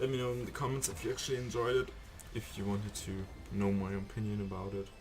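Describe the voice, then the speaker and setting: Over noticeable background noise and audible room echo, a man speaks very fast at a fairly low pitch with fairly even intonation. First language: not English (English is third language). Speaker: gaming streamer. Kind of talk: gameplay commentary. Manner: halting.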